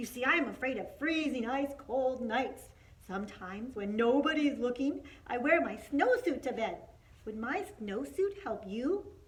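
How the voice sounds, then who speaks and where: A woman puts on a growling character voice at a high pitch. She moves at a moderate pace over light background noise. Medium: read story.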